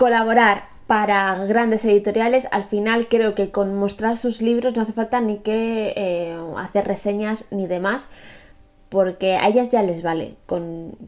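At a fairly slow pace, a woman with a fairly high pitch speaks with fairly even intonation. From Spain. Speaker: booktuber; book vlogger. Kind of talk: casual vlog monologue. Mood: relaxed, reflective. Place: home room.

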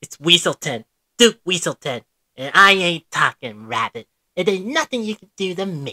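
Pitched high, a man speaks at a moderate pace with very wide pitch swings and big swings in loudness, recorded dry and close with no echo. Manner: wisecracking, defiant.

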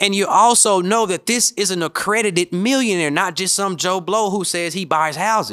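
A man with a high pitch and a bright, sharp tone talks with hardly any pauses. His pitch varies in an ordinary way, and the background is quiet. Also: moderate pace. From Memphis, Tennessee; Tennessee. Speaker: podcast host, real estate coach. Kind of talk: solo podcast monologue; podcast monologue. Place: studio. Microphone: studio mic.

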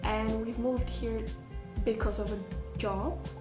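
A woman's very slow speech in a non-native accent, with clear music in the background. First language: not English. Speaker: vlogger. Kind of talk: casual talk to camera. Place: home room. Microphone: phone near.

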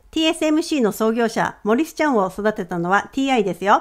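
This woman has an unremarkable speaking voice, fairly high in pitch, with lively intonation. She talks at a moderate pace in a very clean recording with a silent background. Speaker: finance educator. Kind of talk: educational video monologue.

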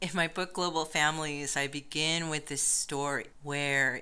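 A woman with an American accent, a very deep, low pitch and a bright, sharp tone, speaking at a fairly slow pace. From United States. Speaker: professor. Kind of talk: interview.

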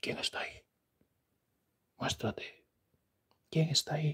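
In a raspy, put-on character voice, a man speaks at a moderate pace with a fairly high pitch. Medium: solo performance. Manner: demanding, then pleading and bargaining.

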